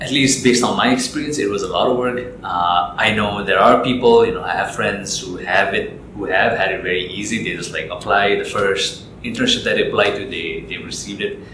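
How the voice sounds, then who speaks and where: A man talks at a fairly quick pace with hardly any pauses. Audible room echo and noticeable background noise fill the recording. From Nepal. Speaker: business analyst. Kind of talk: interview. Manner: hesitant, with repeated fillers.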